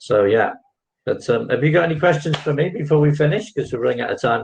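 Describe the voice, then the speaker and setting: Somewhat breathy and fairly high, a man's voice races along at a very fast pace with very wide pitch swings. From England. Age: 60s. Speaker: online English tutor. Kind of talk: casual chat.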